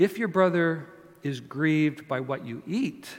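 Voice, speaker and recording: With a Canadian accent, a man talks at a fairly high pitch with lively intonation. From Canada. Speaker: pastor. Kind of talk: sermon. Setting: church. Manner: animated.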